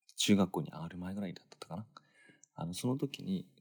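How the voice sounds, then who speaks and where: Speaking at a fairly quick pace, the man's pitch swings very widely. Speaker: podcast host. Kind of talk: late-night solo storytelling monologue. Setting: dark room in bed, hotel in Los Angeles.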